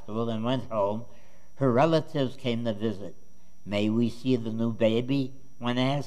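The speaker is plainly reading aloud with fairly even intonation.

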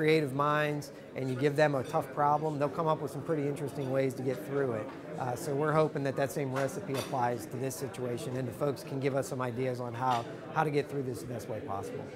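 Noticeable background noise runs beneath speech delivered at a very fast pace. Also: man. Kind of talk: interview answer. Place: hall.

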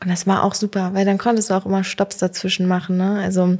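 Against a quiet background, a woman's somewhat breathy voice carries a dark, mellow tone. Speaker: podcast host. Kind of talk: interview. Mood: warm, smiling. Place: office. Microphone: studio mic.

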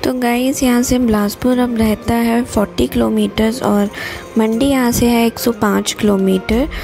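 Music plays in the background as the speaker talks at a fairly slow pace. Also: woman. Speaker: travel vlogger. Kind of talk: travel vlog narration.

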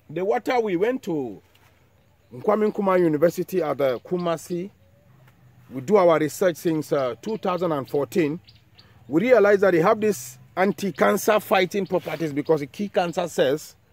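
Lively intonation at a moderate pace, in a dry sound with no echo. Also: man, high pitch for a man. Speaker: herbal farmer and channel host. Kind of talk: tutorial. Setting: outdoors. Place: farm.

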